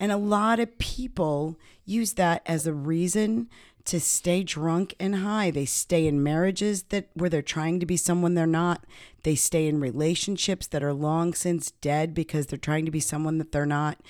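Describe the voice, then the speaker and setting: Her voice is a normal speaking voice, fairly low for a woman with ordinary pitch variation, captured in a very clean recording with a silent background. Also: moderate pace. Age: 50s. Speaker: podcast host, addiction program co-author. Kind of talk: casual chat.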